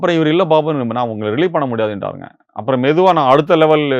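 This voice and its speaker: Fairly high in pitch, a man talks in an ordinary speaking voice with ordinary pitch variation. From Tamil Nadu, Vellore district. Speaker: retired engineer, meditation practitioner. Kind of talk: testimony.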